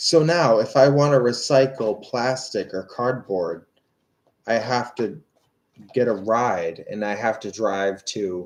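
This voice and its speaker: A man talks at a very slow pace. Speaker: tarot reader. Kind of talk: live stream tarot reading, casual chat. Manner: slurred, halting.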